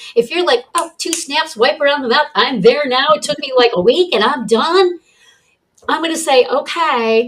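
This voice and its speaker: The pace is moderate. This woman's pitch shifts by an ordinary amount. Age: 60s. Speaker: wellness coach and author. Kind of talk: interview.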